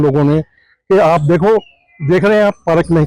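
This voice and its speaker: Recorded with a dry, close sound and no echo, a man speaks in a fairly high pitch with a dark, mellow tone and ordinary pitch variation. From Delhi, Hari Nagar area. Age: 70s. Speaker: local resident. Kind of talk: street interview. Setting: outdoors.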